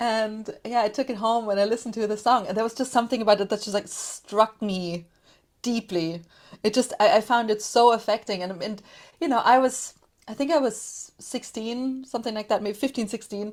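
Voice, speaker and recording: In a German accent, a woman speaks fairly quickly at a fairly high pitch. The recording is very clean, with a silent background. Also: ordinary pitch variation. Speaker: podcaster, music commentator. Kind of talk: casual interview chat.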